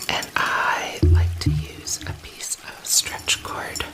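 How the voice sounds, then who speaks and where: A woman whispering, with music in the background. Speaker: ASMR creator and healing bracelet maker. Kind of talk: ASMR whispered talk to camera while crafting. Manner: whispered, soft-spoken.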